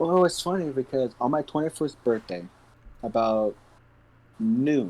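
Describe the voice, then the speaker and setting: A man speaks at a fairly slow pace and medium pitch, with long, frequent pauses. His pitch swings very widely. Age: 20s. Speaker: podcast co-host. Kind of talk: casual chat.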